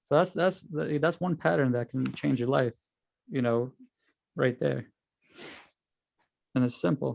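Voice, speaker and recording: With a New York accent, a man talks at a medium pitch. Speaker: trading instructor. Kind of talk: tutorial. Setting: video call. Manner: fast.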